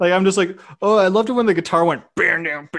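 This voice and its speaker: A man speaks with a Canadian accent. His tone is bright and sharp. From Canada. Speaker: YouTube reaction creator. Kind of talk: casual chat.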